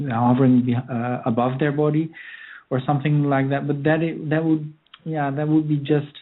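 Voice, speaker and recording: This voice carries a non-native accent. It moves at a moderate pace. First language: not English. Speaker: author. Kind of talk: interview. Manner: halting.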